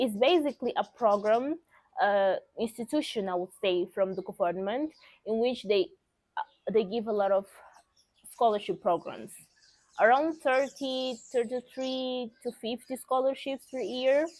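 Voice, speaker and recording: With a Portuguese accent, a woman with a high pitch speaks at a fairly slow pace with lively intonation, recorded very cleanly against a silent background. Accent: Portuguese-speaker. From Mozambique. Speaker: vlogger. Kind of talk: casual vlog talk.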